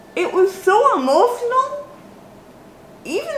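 A woman talks very slowly, and audible room echo surrounds her words. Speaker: baking vlogger. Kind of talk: casual vlog chat. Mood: cheerful, upbeat. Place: kitchen. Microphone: camera far.

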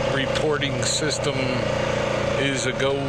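A very slow pace, dry sound with no echo, and loud background noise. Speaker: quad rider vlogger. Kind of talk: casual vlog chat. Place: open country. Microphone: helmet.

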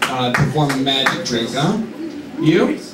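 A man talks at a moderate pace. There is light background noise and audible room echo. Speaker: comedian. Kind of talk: stand-up comedy bit. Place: stage.

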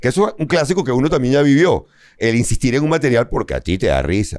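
In a very fast delivery full of vocal fry and very wide pitch swings, a man speaks with a dry sound, no echo and a quiet background. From Venezuela. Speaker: comedian. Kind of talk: casual chat. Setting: studio. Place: studio.

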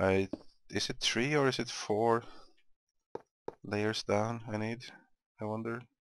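At a fairly slow pace, a man speaks in a monotone with flat intonation. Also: medium pitch for a man. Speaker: gaming commentator. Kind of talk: casual gameplay commentary. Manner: low energy.

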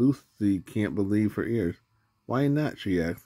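A man speaks at a fairly slow pace in a dark, mellow tone. The background is quiet. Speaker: reader filming a picture book. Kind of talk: reading a story aloud. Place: home room. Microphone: phone near.

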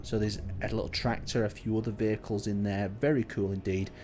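Music plays in the background as a man with a fairly low pitch talks at a very fast pace. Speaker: gaming YouTuber and server host. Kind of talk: video tour commentary. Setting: screen recording voiceover. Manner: casual, conversational.

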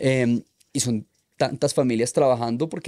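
A man speaks at a fairly slow pace with a dark, mellow tone and a medium pitch. The background is quiet. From Colombia. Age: 30s. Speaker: freestyle motocross rider; podcast guest. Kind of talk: casual chat. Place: studio. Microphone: studio mic.

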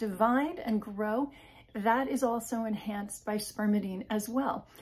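A woman with a fairly high pitch and a dark, mellow tone speaks fairly slowly in a somewhat breathy voice. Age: 50s. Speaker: health and wellness video creator; wellness video creator. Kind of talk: informal educational talk to camera. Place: home room. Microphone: phone near.

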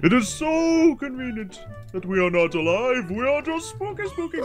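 A man's put-on character voice, extremely high-pitched, with very wide pitch swings at a moderate pace over clear background music. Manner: scary, spooky.

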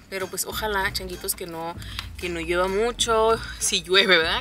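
A woman speaks at a fairly quick pace with ordinary pitch variation. The sound is dry with no echo, and faint music plays in the background. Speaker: mother vlogger. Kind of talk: casual vlog chat. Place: car. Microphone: phone near.

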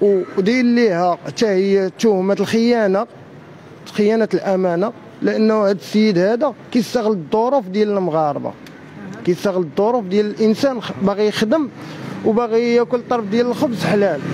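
A man's high-pitched voice at very even loudness, with light background noise. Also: ordinary pitch variation, moderate pace. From Morocco. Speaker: fraud victim. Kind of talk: street interview. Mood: aggrieved, accusatory. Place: street. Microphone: handheld.

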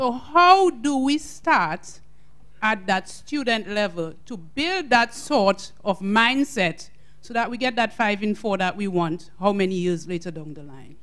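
A woman at a medium pitch, speaking at a very slow pace, with very wide pitch swings. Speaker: webinar audience member asking a question. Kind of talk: formal. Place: hall. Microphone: handheld.

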